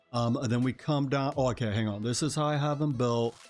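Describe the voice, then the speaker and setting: A man's pitch shifts a normal amount while music plays behind him. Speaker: video game youtuber. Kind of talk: gameplay tutorial. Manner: casual, many filler words.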